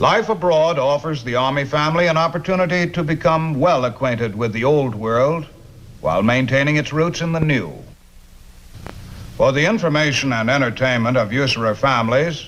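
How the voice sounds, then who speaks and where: Fairly quick talk from a man in a normal speaking voice, fairly high-pitched, with ordinary pitch variation. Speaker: army sergeant presenter. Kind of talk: documentary introduction.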